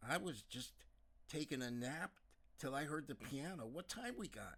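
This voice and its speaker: A man's put-on character voice with lively intonation. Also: fairly high pitch for a man, moderate pace. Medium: read story. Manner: casual, rueful.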